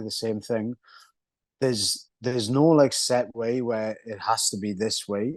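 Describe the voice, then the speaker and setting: The speaker talks at a fairly slow pace with a Welsh accent. The intonation is monotone and flat. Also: man, quiet background. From Wales. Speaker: mixed martial arts fighter. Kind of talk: interview. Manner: casual, hesitant with fillers.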